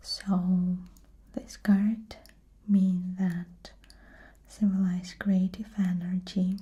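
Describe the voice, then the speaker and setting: A soft-spoken woman's somewhat breathy voice, dark and mellow, flat and monotone, very slow with long, frequent pauses. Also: medium pitch for a woman. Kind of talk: soft-spoken tarot card explanation, show and tell.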